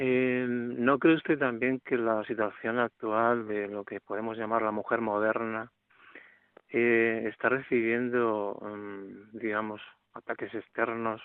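Very slowly, a man speaks at a medium pitch with monotone, flat intonation. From Málaga, Spain.

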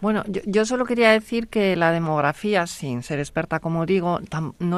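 In a plain, everyday voice, a woman speaks at a moderate pace with a medium pitch and ordinary pitch variation. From Spain. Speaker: law and bioethics professor. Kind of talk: radio panel discussion.

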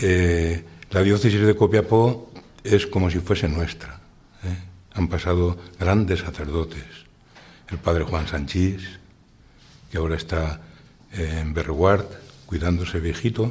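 A man with a very deep, low pitch and a somewhat breathy voice talks at a very slow pace, using fairly even intonation and long, frequent pauses. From Spain, Valencia region (Utiel). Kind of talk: radio interview testimony.

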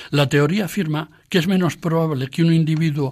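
On a very clean recording with a silent background, a man speaks at a moderate pace in a somewhat breathy voice with ordinary pitch variation. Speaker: radio program presenter and essayist. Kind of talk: scripted talk. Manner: formal.

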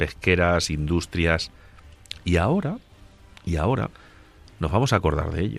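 The man's very deep, low pitch carries his words at a moderate pace. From Spain, Ciudad Real (Agudo). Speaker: radio co-host. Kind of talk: radio talk show; scripted narration.

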